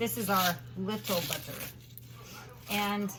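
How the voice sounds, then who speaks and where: A woman talks fairly slowly while noticeable background noise and audible echo from the room fill the recording. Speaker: home baking vlogger. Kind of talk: unscripted cooking tutorial.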